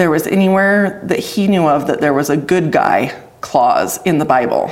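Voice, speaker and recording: In a room with audible echo, a woman speaks with a western US accent. Her pitch is fairly low, with ordinary pitch variation. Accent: western American. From Idaho, US. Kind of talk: testimony interview.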